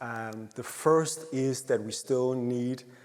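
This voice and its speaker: Audible room echo surrounds a man speaking at medium pitch with lively intonation. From Denmark. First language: Danish. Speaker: happiness researcher. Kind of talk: conference presentation. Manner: hesitant with frequent fillers.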